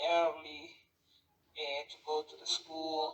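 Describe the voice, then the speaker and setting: Fairly high pitch in a man's speaking voice. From Peru. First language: Spanish. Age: 20s. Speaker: interviewee, language learner. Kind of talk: interview. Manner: halting.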